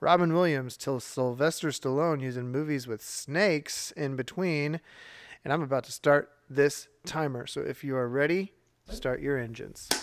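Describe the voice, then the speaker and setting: A man speaks in a normal speaking voice with a fairly high pitch and ordinary pitch variation, captured in a very clean recording against a silent background. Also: moderate pace. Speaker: podcast host. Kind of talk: casual chat, game show banter.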